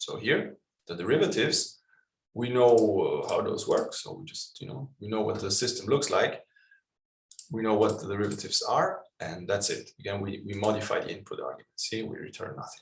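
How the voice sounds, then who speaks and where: A man's fairly quick delivery with big swings in loudness. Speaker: programming workshop instructor. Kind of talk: lecture.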